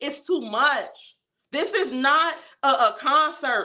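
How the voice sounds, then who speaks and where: A woman speaks in a high, bright, sharp voice, raised and projected. Her tone is animated and her intonation lively. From Chicago, West Side (Austin). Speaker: community activist, livestream host. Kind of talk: casual livestream talk. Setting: livestream.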